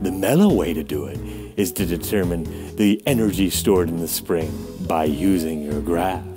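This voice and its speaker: A man's voice with clear music in the background. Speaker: physics teacher. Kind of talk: lab instructions lecture. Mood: relaxed, playful. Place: home room.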